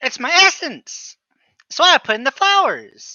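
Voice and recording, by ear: A put-on character voice comes through, squeaky and at an extremely high pitch. The pace is moderate.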